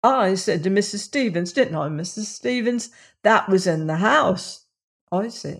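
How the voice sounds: The clip has a natural reading voice against a quiet background.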